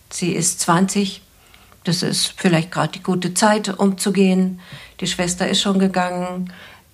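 Somewhat breathy and at a medium pitch, a woman speaks fairly slowly with monotone, flat intonation. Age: 60s. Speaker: couples therapist and psychologist. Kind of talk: advice podcast conversation.

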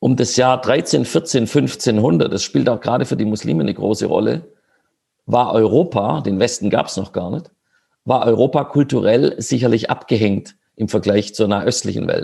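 Vocal fry runs through this man's dark, mellow tone. He speaks at a moderate pace with lively intonation. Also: medium pitch for a man. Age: 50s. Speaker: politician. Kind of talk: online panel discussion. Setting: video call.

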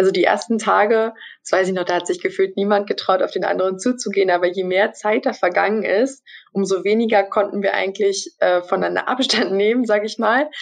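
This woman has an ordinary speaking voice at a medium pitch. She talks at a fairly quick pace with fairly even intonation. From Brandenburg, Germany. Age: 20s. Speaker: trainee journalist. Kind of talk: interview.

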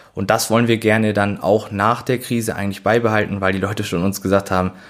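A man at a fairly low pitch, fairly quick pace, with monotone, flat intonation. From Schleswig-Holstein, northern Germany. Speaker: chef and delicatessen owner. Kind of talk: casual interview. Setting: at his shop.

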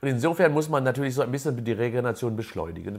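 A man speaks at a medium pitch with lively intonation and a somewhat breathy quality. The recording is very clean, with a silent background. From Germany, near Unna (Westphalia). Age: 60s. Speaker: sports scientist and professor. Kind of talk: interview.

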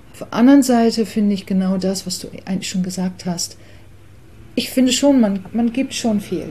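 At a moderate pace and medium pitch, a woman speaks with ordinary pitch variation and big swings in loudness. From England. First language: English (speaking German). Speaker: artist and songwriter. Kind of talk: interview.

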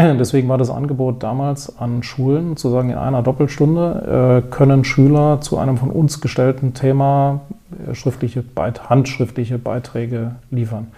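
Noticeable background noise sits behind the voice. A man of medium pitch speaks with fairly even intonation. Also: moderate pace. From Wiesbaden, Hesse, Germany. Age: 50s. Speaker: business owner and education philanthropist. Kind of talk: interview.

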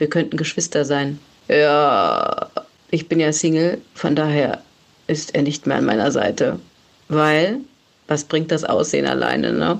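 Speaking at a fairly slow pace with long, frequent pauses, a woman keeps her loudness very even. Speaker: podcast co-host. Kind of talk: casual chat. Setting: recorded voice message.

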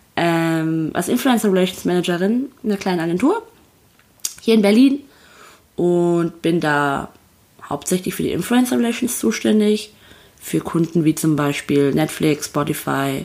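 Speaking at a fairly slow pace with long, frequent pauses, a woman uses a fairly low pitch. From North Rhine-Westphalia, Paderborn. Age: 20s. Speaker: podcast co-host, influencer relations manager. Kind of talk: casual chat. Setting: on a sofa in her Berlin flat.

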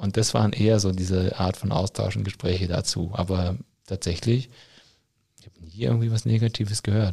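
A man's somewhat breathy, dark and mellow voice, fairly low in pitch, at a fairly quick pace, with ordinary pitch variation and big swings in loudness. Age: 30s. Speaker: teacher working in education ministry. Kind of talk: interview. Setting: studio, in person.

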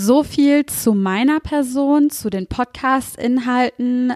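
In a dry, close sound with no echo, a woman with a fairly high pitch speaks with ordinary pitch variation. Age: 30s. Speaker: podcast host and mindfulness coach. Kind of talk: podcast monologue. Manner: hesitant fillers.

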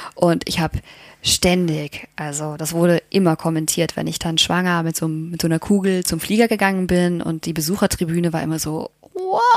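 In a plain, everyday voice, a woman speaks at a fairly low pitch and a fairly quick pace. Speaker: astronaut trainee and mother. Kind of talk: casual interview. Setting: hotel room.

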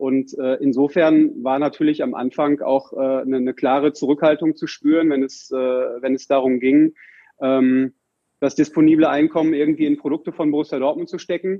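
With fairly even intonation and a fairly high pitch, a man talks at a moderate pace. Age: 40s. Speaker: merchandising managing director of a football club. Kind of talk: podcast interview. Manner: hesitant with frequent fillers.

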